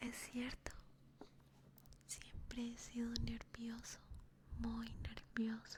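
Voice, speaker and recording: A woman is whispering at a very slow pace. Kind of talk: whispered ASMR story reading. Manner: whispered, soft.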